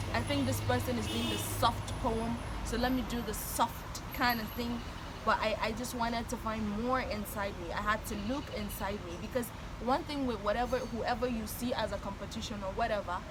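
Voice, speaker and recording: Noticeable background noise and audible room echo surround the recording. Through it, a woman speaks at a moderate pace. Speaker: spoken word poet. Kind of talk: casual interview chat.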